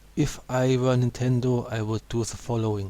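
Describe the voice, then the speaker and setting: A man speaks at a medium pitch in a dark, mellow tone. His intonation is monotone and flat, and he has a non-native accent. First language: not English. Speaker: gaming YouTuber. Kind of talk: video commentary.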